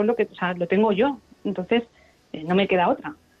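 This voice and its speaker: A woman speaks in a normal speaking voice at a moderate pace. Her pitch is fairly high, with ordinary variation. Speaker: kidney transplant patient. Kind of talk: radio interview.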